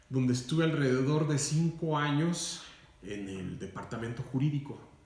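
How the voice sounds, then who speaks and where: Audible room echo surrounds a man talking at a moderate pace in a fairly high pitch. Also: ordinary pitch variation. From Mexico, Durango. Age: 40s. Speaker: radio announcer and lawyer. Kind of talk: interview. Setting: recorded interview. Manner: formal.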